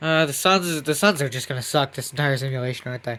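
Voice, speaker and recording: A man's fairly high voice, bright and sharp in tone, at a fairly quick pace. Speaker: gaming YouTuber. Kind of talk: gameplay commentary. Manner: casual.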